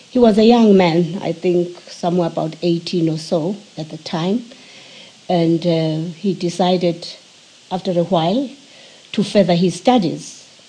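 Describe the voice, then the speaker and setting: With noticeable background noise, a woman speaks fairly slowly in a fairly low voice, using ordinary pitch variation and long, frequent pauses. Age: 80s+. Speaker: interviewee recounting family history. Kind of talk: oral history interview. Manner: halting, with frequent hesitations.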